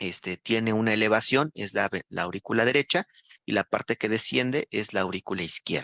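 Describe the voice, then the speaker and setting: Bright and sharp in tone, a man talks at a fairly quick pace with ordinary pitch variation in a dry, close sound with no echo. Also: fairly low pitch for a man. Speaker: nursing instructor. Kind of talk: lecture.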